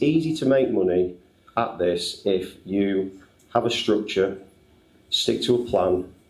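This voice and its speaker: A man's voice at a fairly slow pace, with lively intonation, very even loudness and audible room echo. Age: 50s. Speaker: trader and business owner. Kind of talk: panel discussion at live event. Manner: halting, many fillers.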